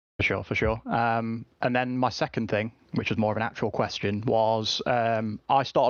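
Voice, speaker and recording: With an English accent, a man speaks at medium pitch and a moderate pace, with fairly even intonation. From England. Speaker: caller. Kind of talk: casual chat.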